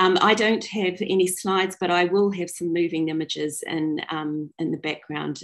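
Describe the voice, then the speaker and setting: The voice moves at a moderate pace with fairly even intonation. The background is quiet. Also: woman. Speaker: storyteller. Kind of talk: personal storytelling talk. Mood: warm, smiling. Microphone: video call.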